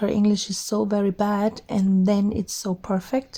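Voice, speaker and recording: A woman speaks at medium pitch in a dark, mellow tone. Her voice is somewhat breathy. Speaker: crafting YouTuber, artist. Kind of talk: casual vlog monologue. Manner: halting, with fillers.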